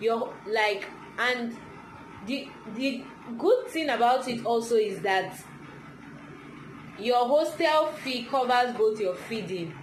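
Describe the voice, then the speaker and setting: A woman's high-pitched voice at a very slow pace, with ordinary pitch variation, long, frequent pauses, audible room echo, and noticeable background noise. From Nigeria. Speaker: vlogger. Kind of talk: casual chat.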